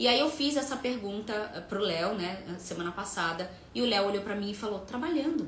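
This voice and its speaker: A woman's animated, medium-pitched voice with a Rio de Janeiro accent, at a moderate pace, with noticeable background noise and audible room echo. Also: lively intonation. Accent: Rio de Janeiro (carioca), noticeable. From Rio de Janeiro, Brazil. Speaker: workshop presenter and coach. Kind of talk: live online workshop. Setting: video call livestream.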